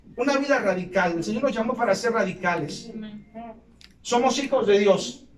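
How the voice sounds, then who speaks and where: A man talks at a moderate pace in an extremely high pitch with ordinary pitch variation. Audible room echo and noticeable background noise fill the recording. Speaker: pastor. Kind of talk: sermon. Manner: occasional stutter; impassioned preaching.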